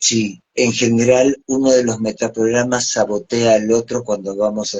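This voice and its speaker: With a medium pitch and ordinary pitch variation, a man talks in an ordinary speaking voice. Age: 60s. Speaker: psychologist and NLP trainer. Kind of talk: live stream interview.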